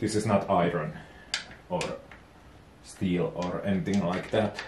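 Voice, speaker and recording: With a Finnish accent, a man speaks at a fairly slow pace, fairly low in pitch and somewhat breathy, leaving long, frequent pauses. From Finland. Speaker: DIY boat and engine vlogger. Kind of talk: tutorial. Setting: home workshop. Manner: halting.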